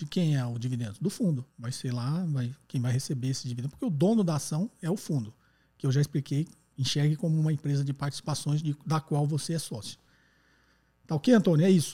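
A man's fairly high, somewhat breathy voice with a dark, mellow tone, ordinary pitch variation and a fairly quick pace. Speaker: economics podcast host answering listener questions. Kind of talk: call-in Q&A explanation. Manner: conversational, frequent tag questions.

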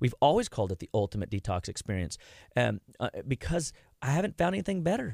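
A man talks at a very fast pace with vocal fry and very wide pitch swings. The sound is dry and close, with no echo. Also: medium pitch for a man, very clean recording, silent background. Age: 40s. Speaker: clinical nutrition doctor. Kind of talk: radio interview. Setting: studio.

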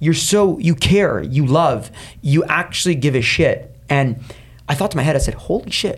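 A man's ordinary speaking voice, fairly high in pitch, with lively intonation, a moderate pace and very even loudness. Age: 30s. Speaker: entrepreneur. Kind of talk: interview.

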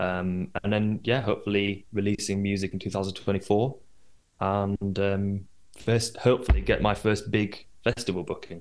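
This is an ordinary speaking voice with fairly even intonation. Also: man, fairly low pitch for a man. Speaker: radio DJ. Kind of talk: casual chat.

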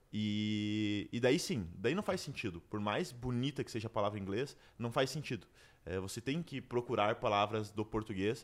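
Over a very clean recording with a silent background, a man speaks in a normal speaking voice, fairly low in pitch and at a moderate pace. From Brazil, Curitiba. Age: 20s. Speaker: entrepreneur. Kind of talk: interview.

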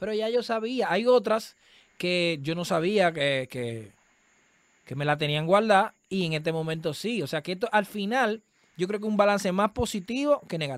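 A man with a Dominican accent speaks at a moderate pace in a high voice with lively intonation. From Dominican Republic. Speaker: comedian and political candidate. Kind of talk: casual interview. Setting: remote call from home.

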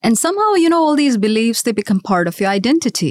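A woman's medium-pitched voice swings very widely in pitch. The recording is very clean with a silent background and a dry, close sound with no echo. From India, Mumbai. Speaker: finance executive. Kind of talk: interview.

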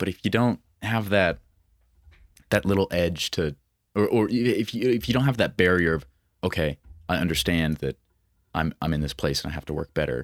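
With an American accent and vocal fry, the speaker moves at a fairly quick pace broken by long, frequent pauses, in a dry, close sound with no echo. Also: man, very deep, low pitch for a man, lively intonation, very clean recording, silent background. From Montana. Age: 20s. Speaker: country musician and social media creator. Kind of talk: casual chat.

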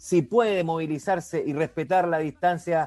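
A man speaks at a high pitch, with ordinary pitch variation. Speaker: sports radio host. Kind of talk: radio show hosting.

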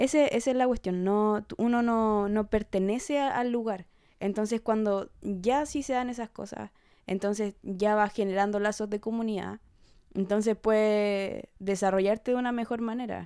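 Over a silent background on a very clean recording, a woman speaks fairly slowly with fairly even intonation. Her voice sits fairly high and has a dark, mellow tone. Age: 20s. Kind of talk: casual chat.

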